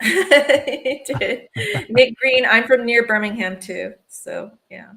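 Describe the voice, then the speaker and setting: A woman's raised, projected voice with an American accent, high in pitch, bright and sharp in tone, with ordinary pitch variation at a very slow pace. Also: big swings in loudness. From US South, Alabama. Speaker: fashion and marketing specialist. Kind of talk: casual livestream chat.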